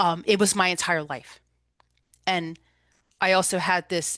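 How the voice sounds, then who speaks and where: A woman with a New Jersey accent speaks at a medium pitch in a bright, sharp tone with ordinary pitch variation. The sound is dry and close with no echo, over a quiet background. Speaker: holistic recovery coach and energy healer. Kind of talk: presentation talk.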